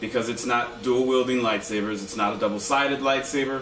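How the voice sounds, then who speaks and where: A man with fairly even intonation, audible room echo and light background noise. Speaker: lightsaber group member giving how-to video; hobbyist reviewer. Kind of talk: tutorial. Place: home room. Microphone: camera far.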